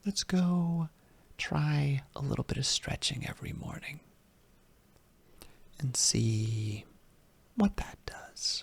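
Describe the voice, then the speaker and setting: The voice is whispering and soft-spoken. It moves at a very slow pace with long, frequent pauses. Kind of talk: ASMR comfort and reassurance talk to the listener. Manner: soft-spoken, whispered, rambling.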